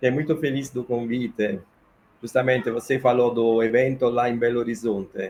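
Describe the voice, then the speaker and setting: A man talks with an Italian accent. His medium-pitched voice keeps a fairly even intonation. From Italy, Naples. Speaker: political science professor. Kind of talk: interview.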